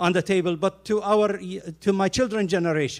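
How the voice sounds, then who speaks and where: A man at a moderate pace in a very clean recording with a silent background. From Jordan. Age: 60s. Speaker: keynote speaker and preacher. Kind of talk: speech.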